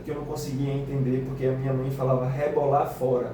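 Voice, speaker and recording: Amid noticeable background noise and audible room echo, a man with a northeastern Brazilian accent talks at a fairly quick pace in a fairly high pitch. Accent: northeastern Brazilian speech traits. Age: 20s. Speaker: teacher. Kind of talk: radio interview. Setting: radio studio.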